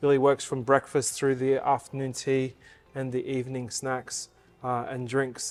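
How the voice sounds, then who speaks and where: Music plays in the background as a man with an Australian accent speaks at a moderate pace. His voice is medium-pitched with monotone, flat intonation. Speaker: hotel general manager. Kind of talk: interview answer.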